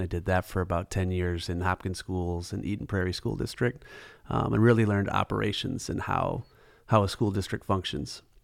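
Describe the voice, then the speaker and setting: A man speaks with an American accent in an unremarkable speaking voice, his pitch fairly low with ordinary variation. He goes at a fairly quick pace over a very clean recording with a silent background. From Minnesota, Twin Cities southwest metro. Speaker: adoptive father and school operations business owner. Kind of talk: casual interview.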